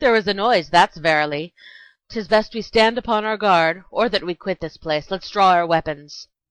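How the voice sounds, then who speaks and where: A woman does a put-on character voice with lively intonation at a moderate pace. The sound is dry and close with no echo, over a quiet background. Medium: short film.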